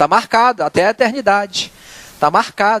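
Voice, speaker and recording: A man with a high pitch speaks in a dry, close sound with no echo. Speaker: lay preacher. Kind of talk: sermon. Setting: church.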